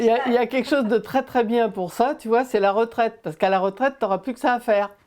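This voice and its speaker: A woman talks at a very fast pace. Her pitch is fairly high, with ordinary variation. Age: 70s. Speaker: gamer and interviewer. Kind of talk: casual interview conversation.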